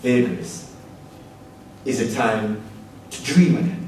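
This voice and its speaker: Speaking at a very slow pace with long, frequent pauses, a man is heard with audible room echo and light background noise. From Jamaica. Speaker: politician and law student presenting a paper. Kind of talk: formal speech. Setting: conference room with audience. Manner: formal. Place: hall.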